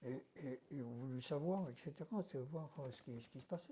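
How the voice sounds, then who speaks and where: At a moderate speed, a man talks in a dark, mellow tone with ordinary pitch variation. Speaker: doctor and hypnosis trainer. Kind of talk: interview. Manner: halting.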